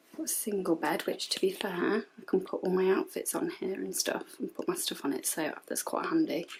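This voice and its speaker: A woman with a high pitch and very wide pitch swings, hardly any pauses, and noticeable background noise. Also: moderate pace. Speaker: YouTuber. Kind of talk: vlog. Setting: hotel room.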